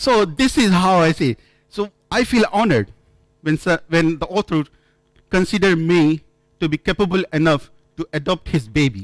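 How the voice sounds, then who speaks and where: A man with an Indian accent talks at a high pitch with lively intonation and a moderate pace. He takes long, frequent pauses, and the sound is dry and close with no echo. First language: not English, Indian language. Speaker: software developer, conference speaker. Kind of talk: conference talk. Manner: halting, with repetitions.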